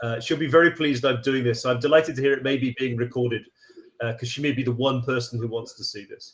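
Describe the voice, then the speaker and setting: A man talks at a very fast pace with an American accent. His voice is somewhat breathy, with fairly even intonation. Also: medium pitch for a man. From Britain. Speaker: university lecturer. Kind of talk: lecture. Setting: remote video call.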